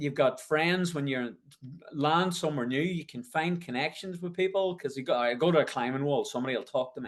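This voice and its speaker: His pitch sits fairly high, and it varies in an ordinary way. The man's delivery is fairly quick. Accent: strong Northern Irish. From Northern Ireland, County Tyrone. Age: 50s. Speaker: ultramarathon race organiser. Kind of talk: podcast interview. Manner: energetic, enthusiastic.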